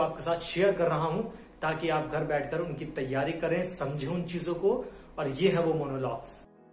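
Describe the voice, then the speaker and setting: In a room with audible echo, a man with a high pitch talks at a fairly slow pace, his intonation fairly even. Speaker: acting coach. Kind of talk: tutorial. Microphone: phone near.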